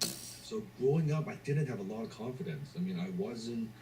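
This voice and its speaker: At a moderate pace, a man speaks in a Cantonese accent, with noticeable background noise and audible room echo. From Hong Kong, moved to Canada at 16. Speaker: entrepreneur and motivational speaker. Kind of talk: motivational talk.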